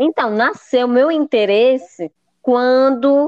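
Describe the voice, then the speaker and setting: Her pitch is high, and it varies in an ordinary way. The woman's sound is dry and close, with no echo. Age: 30s. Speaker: tour guide and accessible tourism consultant. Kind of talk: interview.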